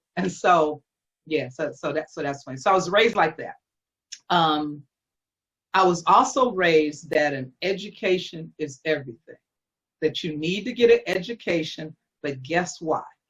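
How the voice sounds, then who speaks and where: With a fairly low pitch and a somewhat breathy voice, a woman speaks at a moderate pace with lively intonation, big swings in loudness, and long, frequent pauses. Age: 60s. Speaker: college professor and educational consultant. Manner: animated.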